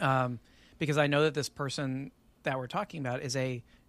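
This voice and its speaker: With an American accent, a man talks at a medium pitch in a monotone, flat delivery, recorded very cleanly against a silent background. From Texas. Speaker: podcast guest. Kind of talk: casual chat.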